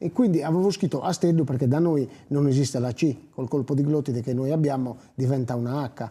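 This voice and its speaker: With a Sardinian accent, a man speaks at a fairly quick pace with hardly any pauses, his fairly high, somewhat breathy voice dark and mellow in tone, with ordinary pitch variation. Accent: Sardinian Italian. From Sardinia, Lodine (Barbagia). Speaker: singer and poet. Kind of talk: interview.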